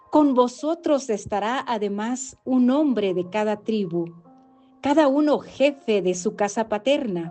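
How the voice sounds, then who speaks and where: Music plays in the background as a woman speaks at a very slow pace. Her pitch is fairly high and her intonation lively. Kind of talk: scripture reading.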